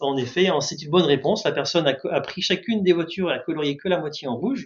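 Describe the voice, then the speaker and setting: A man speaks very fast, his pitch varying in an ordinary way. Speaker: market research consultant. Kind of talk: webinar presentation.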